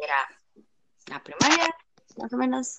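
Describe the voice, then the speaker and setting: The sound is dry and close, with no echo. A woman speaks in a bright, sharp tone. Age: 20s. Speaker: podcast guest. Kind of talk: personal testimony.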